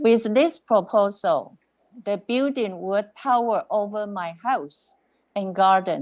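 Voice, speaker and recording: A woman speaks at a medium pitch with lively intonation and a non-native accent. Her pace is very slow against a quiet background. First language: not English. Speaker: resident delegate at council meeting. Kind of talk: public comment statement.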